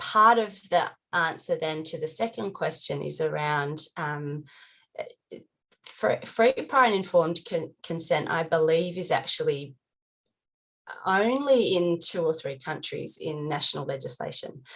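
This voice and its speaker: A woman with an Australian accent speaks at a fairly low pitch, her intonation lively. She leaves long pauses, and often. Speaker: NGO advocate panelist. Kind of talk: panel discussion. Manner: hesitant, many fillers.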